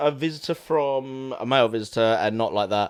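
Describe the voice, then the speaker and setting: On a very clean recording with a silent background, a man talks. His pace is moderate. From Essex, England. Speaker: film podcast co-host. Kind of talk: casual chat.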